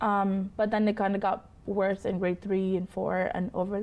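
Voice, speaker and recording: She speaks at a medium pitch for a woman, in a monotone, flat intonation. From Canada (moved from Pakistan at seven). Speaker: interview guest sharing her life story. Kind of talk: interview, personal testimony. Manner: casual, hesitant with fillers.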